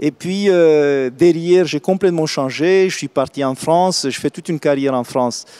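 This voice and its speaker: With a Romanian accent, a man speaks at a moderate pace in a fairly high pitch and a dark, mellow tone, recorded dry and close with no echo. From Romania, Craiova. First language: Romanian (speaking French). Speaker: real estate executive. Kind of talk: interview. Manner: hesitant, many fillers.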